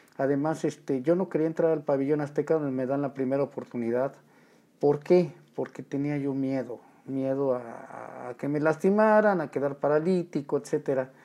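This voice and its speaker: This man has a dark, mellow tone and a fairly high pitch, speaking at a moderate pace. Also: ordinary pitch variation. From Mexico City, barrio La Merced. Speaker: professional wrestler. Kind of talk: casual interview.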